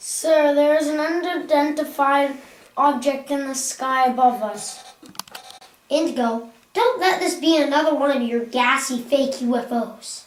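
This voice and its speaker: A woman does a put-on character voice, high-pitched for a woman, at a fairly slow pace. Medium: short film.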